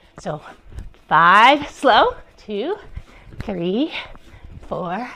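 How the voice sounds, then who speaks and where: With a relaxed tone and a fairly high pitch, a woman leaves long, frequent pauses. Her loudness swings widely, and noticeable background noise can be heard. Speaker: yoga teacher and doctor. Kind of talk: yoga class instruction. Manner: relaxed, encouraging.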